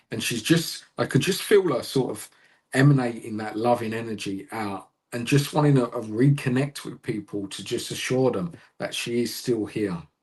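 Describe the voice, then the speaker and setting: This man's loudness swings widely while his medium pitch shows ordinary variation. He speaks at a moderate pace, somewhat breathy, against a quiet background. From London, England. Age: 30s. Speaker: psychic medium. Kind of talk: live mediumship reading.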